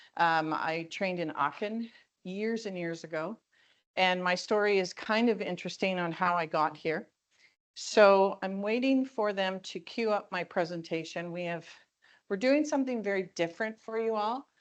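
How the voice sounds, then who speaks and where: An ordinary speaking voice from a woman in a Canadian accent, medium pitch, ordinary pitch variation and moderate pace against a quiet background. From Ontario, Canada. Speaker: keynote speaker, perfumer. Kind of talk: keynote presentation. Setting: conference stage with audience.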